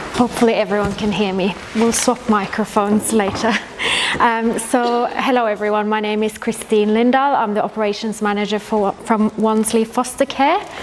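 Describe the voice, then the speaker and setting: With a Norwegian accent, a woman speaks at a moderate pace in a fairly high pitch with fairly even intonation. There is noticeable background noise. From Norway. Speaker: social worker, foster care manager. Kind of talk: presentation. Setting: info session with audience, microphone.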